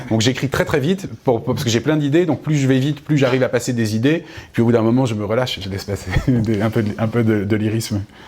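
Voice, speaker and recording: Very fast speech with ordinary pitch variation comes through over noticeable background noise. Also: man, medium pitch for a man. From Paris suburbs, Essonne. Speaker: novelist. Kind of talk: interview. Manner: halting, repeats words.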